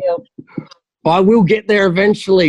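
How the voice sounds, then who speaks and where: The sound is close and dry, without any echo. Words come out fairly quickly. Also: man. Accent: broad Australian. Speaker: military veteran. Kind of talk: casual chat.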